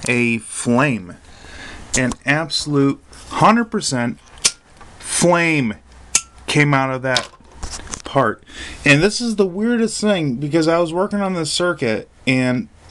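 Pausing long and often, a man speaks at a very slow pace with a fairly high pitch and very wide pitch swings against noticeable background noise. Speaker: electronics hobbyist. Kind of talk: casual talk to camera.

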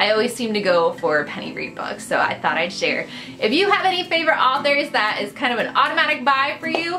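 Over clear music in the background, a raised, projected voice moves at a fairly quick pace. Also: woman. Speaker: book vlogger. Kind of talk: casual vlog chat. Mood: enthusiastic, friendly. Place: home room. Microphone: phone near.

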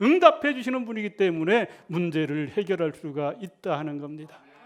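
Pitch swings very widely as a man speaks at a moderate pace. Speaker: Salvation Army officer, pastor. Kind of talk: sermon.

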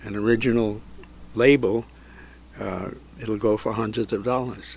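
In a monotone, flat intonation, a man talks with a dry sound and no echo. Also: medium pitch for a man, moderate pace. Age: 80s+. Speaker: record store owner. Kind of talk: interview answer. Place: shop.

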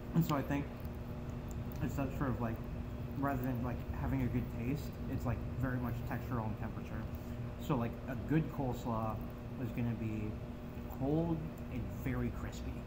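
Against loud background noise, a man talks at a fairly quick pace. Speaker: food reviewer. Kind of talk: casual vlog chat. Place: home room. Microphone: camera far.

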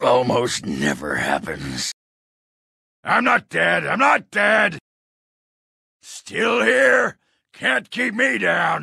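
A man puts on a raspy character voice, speaking at a very slow pace with long, frequent pauses. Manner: brash, crude, cocky.

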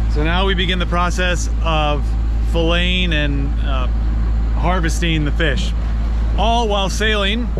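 A man's very deep, low voice, dry with no echo, against noticeable background noise. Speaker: sailing vlogger. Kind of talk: casual vlog chat. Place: boat. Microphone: phone near.

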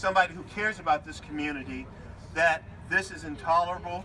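The voice is loud and very fast, with fairly even intonation. There is light background noise. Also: man. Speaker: county politician. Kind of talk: public speech. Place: street.

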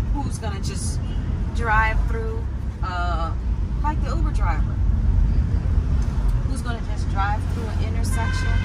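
Loud background noise sits behind a woman speaking. She talks at a fairly slow pace with long, frequent pauses. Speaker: driver vlogger. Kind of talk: casual vlog chat. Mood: animated, slightly exasperated. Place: car. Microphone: phone near.

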